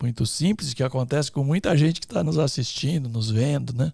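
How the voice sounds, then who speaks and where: A man speaks at a medium pitch with a dark, mellow tone and lively intonation, sounding somewhat breathy. The recording is very clean, with a silent background. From interior of São Paulo state, Brazil. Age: 60s. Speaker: entrepreneur, electrical engineer. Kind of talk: podcast interview. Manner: hesitant fillers.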